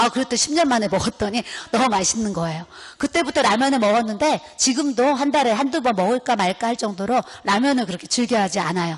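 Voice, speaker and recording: Over noticeable background noise, a woman with a fairly high pitch speaks at a very fast pace with lively intonation in an animated tone. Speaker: pastor's wife. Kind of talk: sermon. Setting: seminar audience.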